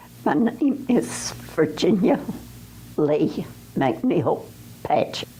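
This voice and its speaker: A woman speaks at a very slow pace with an Appalachian accent. Noticeable background noise runs behind her. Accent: Appalachian Southern US. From western North Carolina. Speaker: oral history interviewee. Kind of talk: interview.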